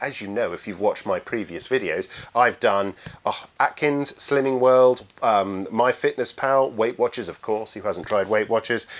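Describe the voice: The pace is moderate. There are few pauses. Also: man.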